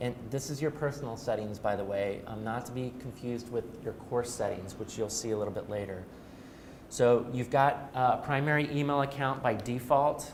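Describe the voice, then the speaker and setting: Audible echo from the room is present. The man's intonation stays fairly even. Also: medium pitch for a man. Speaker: trainer. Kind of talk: training workshop. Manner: fast.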